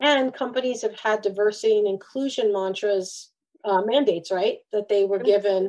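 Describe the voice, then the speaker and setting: A woman talks in a normal speaking voice. Her pace is moderate and her intonation fairly even. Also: fairly high pitch for a woman. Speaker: career coach and keynote speaker. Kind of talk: interview conversation.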